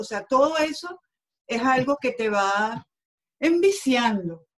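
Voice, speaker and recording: A woman is speaking. She has a Venezuelan accent. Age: 50s. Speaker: sports journalist. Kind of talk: interview.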